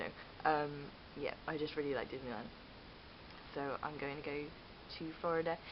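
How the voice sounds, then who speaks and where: A woman speaks in a West Country accent at a moderate pace, her very deep, low voice flat and monotone, with long, frequent pauses. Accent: West Country, rhotic. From Cheltenham, southwest England. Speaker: vlogger. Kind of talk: casual vlog. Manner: hesitant, many fillers. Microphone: digital camera mic, poor sound.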